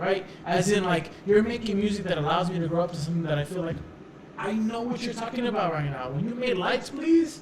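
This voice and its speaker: A man's high-pitched voice with lively intonation at a fairly quick pace, amid audible room echo and noticeable background noise. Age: 20s. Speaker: podcast co-host. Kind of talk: casual chat. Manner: animated.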